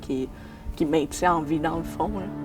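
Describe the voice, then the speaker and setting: A woman with a Quebec accent, music playing in the background. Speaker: street newspaper vendor. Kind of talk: documentary interview.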